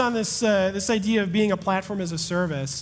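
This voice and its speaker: An energetic tone at a fairly quick pace, with ordinary pitch variation and audible room echo. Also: man. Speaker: tech company founder. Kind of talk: conference talk Q&A. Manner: fast.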